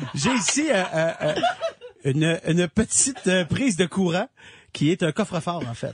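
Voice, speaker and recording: In a dry, close sound with no echo but noticeable background noise, a man with a high pitch speaks at a fairly slow pace with long, frequent pauses. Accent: Quebec. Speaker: radio columnist. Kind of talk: radio segment presenting products.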